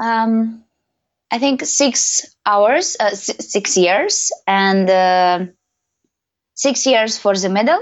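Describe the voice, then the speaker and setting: Speaking very slowly with a non-native accent, a woman keeps a medium pitch and ordinary pitch variation. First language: not English. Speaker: professional belly dancer and teacher. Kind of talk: interview. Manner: halting.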